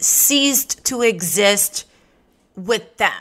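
A woman's bright, sharp tone at a very slow pace. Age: 30s. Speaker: podcast host and adult performer. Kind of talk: casual monologue.

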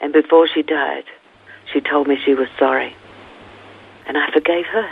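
Over noticeable background noise, a woman with a very deep, low pitch speaks at a moderate pace. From England (London). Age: 70s. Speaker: author and former pastor. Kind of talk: interview testimony. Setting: phone call.

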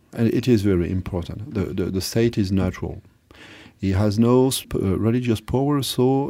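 A dark, mellow tone with ordinary pitch variation and a French accent, in a very clean recording with a silent background. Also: man. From France. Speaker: philosopher. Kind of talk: interview. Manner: halting.

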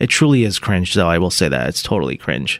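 This man has a fairly low pitch with vocal fry. His tone is animated. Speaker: radio host. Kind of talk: mock car-dealership sales pitch, bantering. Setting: radio studio. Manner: animated, jokey.

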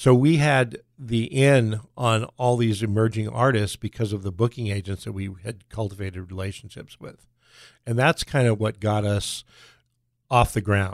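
This man has an unremarkable speaking voice, fairly low in pitch with ordinary pitch variation, talking at a moderate pace with an American accent. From Southern California. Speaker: music venue owner. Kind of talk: interview.

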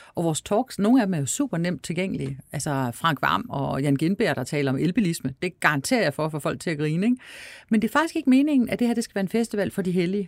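Speaking at a very fast pace, a woman with a fairly low pitch makes very wide pitch swings, captured in a dry, close sound with no echo on a very clean recording with a silent background. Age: 50s. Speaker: festival director. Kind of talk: interview conversation.

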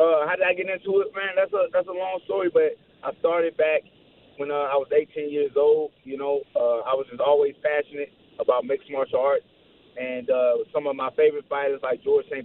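An unremarkable speaking voice from a man with an American accent, fairly high in pitch with ordinary pitch variation, at a fairly quick pace. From St. Louis, Missouri, US. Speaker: MMA fighter. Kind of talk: radio interview.

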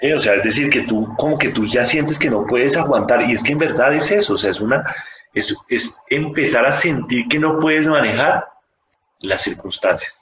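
Speaking at a moderate pace in an ordinary speaking voice, a man with a fairly high pitch keeps very even loudness and ordinary pitch variation. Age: 40s. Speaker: physician. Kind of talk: interview.

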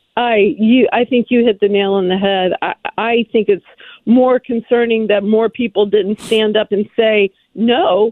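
A woman speaks fairly slowly at a fairly high pitch. Her intonation stays fairly even. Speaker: think tank president and author. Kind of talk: radio interview.

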